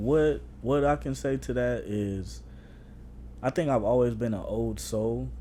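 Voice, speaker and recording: Audible room echo surrounds a man's voice. He talks fairly slowly, with long, frequent pauses. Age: 30s. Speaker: podcast co-host. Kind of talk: casual chat. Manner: casual, filler-heavy.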